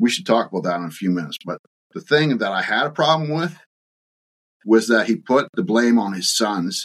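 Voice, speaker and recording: Dry and close with no echo, a man's medium-pitched voice moves at a fairly quick pace with very wide pitch swings. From Ontario, Canada (Bobcaygeon). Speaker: farm succession author and consultant. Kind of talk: casual interview. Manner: halting, many fillers.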